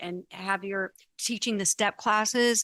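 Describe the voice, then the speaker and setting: A woman of medium pitch speaks in an unremarkable speaking voice at a moderate pace, her intonation fairly even, the sound dry and close with no echo against a quiet background. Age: 60s. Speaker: talk show host, dancer and dance teacher. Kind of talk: casual interview chat.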